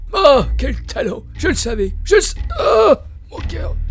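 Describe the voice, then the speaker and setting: Using a cartoonish character voice, a man talks at a fairly slow pace. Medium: puppet. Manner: flirtatious, theatrical.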